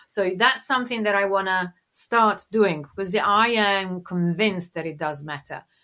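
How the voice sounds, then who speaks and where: A woman with an Italian accent talks at a fairly slow pace with hardly any pauses, her medium-pitched voice bright and sharp in tone with ordinary pitch variation. The recording is very clean, with a silent background. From Italy, Tuscany (Siena). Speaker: designer and design teacher. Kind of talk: casual interview chat. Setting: call.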